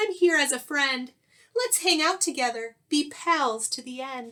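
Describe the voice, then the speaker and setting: A woman puts on a squeaky character voice at a high pitch. She speaks at a moderate pace with lively intonation. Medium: read story. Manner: timid, polite.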